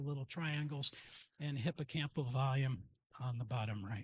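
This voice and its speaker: Against a quiet background, a man talks at a fairly quick pace in a bright, sharp tone with ordinary pitch variation. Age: 70s. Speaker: psychology professor and brain researcher. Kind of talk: conference lecture. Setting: conference talk with slides. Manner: fast.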